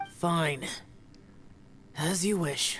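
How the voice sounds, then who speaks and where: Someone speaks in a put-on character voice at a middle pitch. Clear background noise is present. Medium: video game. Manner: terse, solemn.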